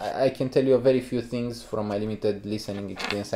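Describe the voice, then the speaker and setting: This is a man with a Romanian accent speaking at a medium pitch. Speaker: headphone reviewer. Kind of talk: casual podcast chat.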